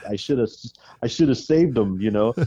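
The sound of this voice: A dark, mellow tone with a slightly husky edge, lively intonation and an American accent, at a fairly quick pace in a dry, close sound with no echo. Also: man, medium pitch for a man.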